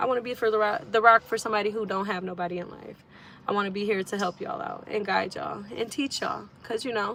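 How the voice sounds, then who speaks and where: A woman with an American accent talks at a very fast pace in a medium pitch. There is noticeable background noise. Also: ordinary pitch variation. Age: 20s. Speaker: musician and online creator. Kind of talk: casual livestream talk.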